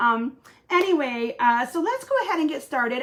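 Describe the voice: The pace is fairly slow. The tone is fairly bright. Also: woman.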